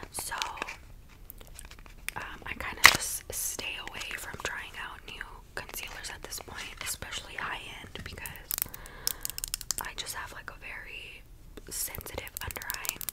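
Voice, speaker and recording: Whispering with long, frequent pauses, a woman is heard over noticeable background noise. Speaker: ASMR creator. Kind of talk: ASMR makeup get-ready-with-me talk to camera. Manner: whispered, soft-spoken.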